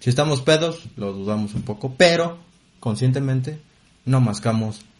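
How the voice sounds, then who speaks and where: Speech comes at a fairly slow pace with a Mexican accent and lively intonation. The voice is somewhat breathy. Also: man. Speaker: podcast co-host. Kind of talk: casual comedic chat.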